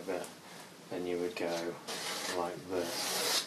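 A man speaks at a very slow pace. Loud background noise runs underneath. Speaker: painting instructor. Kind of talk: tutorial. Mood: relaxed, light laughter. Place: home room. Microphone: camera far.

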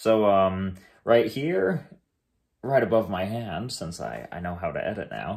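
A man talks at a fairly slow pace, the background quiet. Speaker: home renovation vlogger. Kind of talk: casual vlog chat. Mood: cheerful, relaxed. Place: home room. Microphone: phone near.

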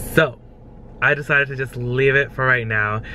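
A man speaks. The sound is dry with no echo, and light background noise is present. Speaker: vlogger. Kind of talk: casual vlog chat. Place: car. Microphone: phone near.

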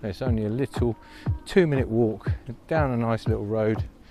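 Clear background music under a man's dry, echo-free voice. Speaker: food vlogger. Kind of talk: casual vlog chat. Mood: upbeat, relaxed. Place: street. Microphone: lapel.

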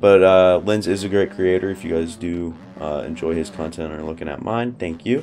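A man with a very deep, low voice talks at a fairly quick pace with ordinary pitch variation over noticeable background noise. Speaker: gaming YouTuber. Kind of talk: gameplay commentary. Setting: home recording with mic. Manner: casual, filler-heavy.

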